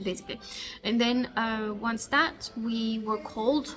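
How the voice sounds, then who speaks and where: A woman's fairly high voice in a French accent over music in the background. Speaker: vlogger, law student. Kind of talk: casual vlog. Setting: hotel café. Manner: hesitant, many fillers.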